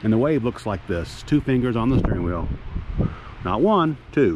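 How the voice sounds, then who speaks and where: The recording is dry, with no echo, and there is noticeable background noise. A man talks at a fairly slow pace. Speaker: travel vlogger. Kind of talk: casual vlog chat. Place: open country. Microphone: phone near.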